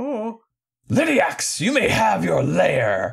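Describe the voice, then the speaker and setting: A put-on character voice at a very slow pace. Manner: commanding.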